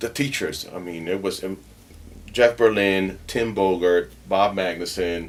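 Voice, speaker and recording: In a Puerto Rican accent, a man talks fairly slowly in a very deep, low pitch with ordinary pitch variation. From Puerto Rico. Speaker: bass player. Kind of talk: interview. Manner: halting.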